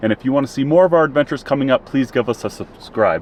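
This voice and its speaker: A man with a Minnesotan accent, at a very fast pace. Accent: Minnesota. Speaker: travel and camping vlogger. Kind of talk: casual vlog narration. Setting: outdoors at a campground.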